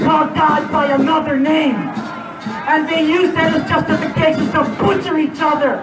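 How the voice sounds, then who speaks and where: Over music in the background and audible room echo, a man with an extremely high pitch speaks at a moderate pace with fairly even intonation. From Puerto Rico. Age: 60s. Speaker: war veteran. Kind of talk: rally speech. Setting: outdoors.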